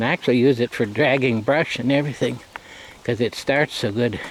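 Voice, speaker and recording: Recorded dry and close with no echo over noticeable background noise, a man talks in a relaxed tone with ordinary pitch variation. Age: 70s. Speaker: rural hobby farmer. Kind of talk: casual vlog narration. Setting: outdoors. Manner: relaxed with frequent fillers.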